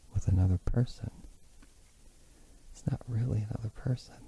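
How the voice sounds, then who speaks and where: Soft-spoken and somewhat breathy, a man talks in a dark, mellow tone. His intonation stays fairly even. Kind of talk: soft-spoken ASMR talk; unscripted casual musing.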